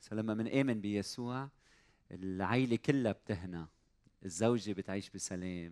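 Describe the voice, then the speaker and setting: An unremarkable speaking voice from a man, fairly low in pitch with ordinary variation, the sound dry and close with no echo. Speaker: church service host. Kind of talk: sermon. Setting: stage with audience.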